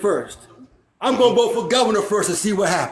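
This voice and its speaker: Loud and animated, a man talks at a very fast pace in an extremely high pitch. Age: 60s. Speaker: panel guest. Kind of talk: casual chat.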